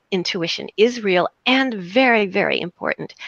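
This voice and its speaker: A woman's medium-pitched voice with an American accent, vocal fry and lively intonation at a moderate pace, in a dry, close sound with no echo. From US South. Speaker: psychotherapist. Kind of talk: interview.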